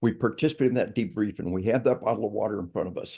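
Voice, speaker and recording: A man with an American accent talks at a very fast pace in a dark, mellow tone with ordinary pitch variation against a quiet background. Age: 60s. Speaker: retired army officer and lethal force psychology speaker. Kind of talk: podcast interview. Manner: animated.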